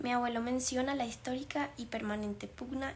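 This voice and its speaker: Noticeable background noise surrounds the recording. A woman speaks at a fairly quick pace. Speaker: documentary narrator. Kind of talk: scripted narration.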